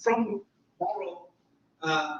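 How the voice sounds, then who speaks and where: A man with a German accent. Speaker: philosophy professor. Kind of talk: lecture.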